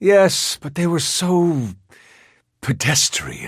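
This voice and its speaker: Using a put-on character voice, a man speaks very slowly at a high pitch. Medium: video game. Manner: languid, silky.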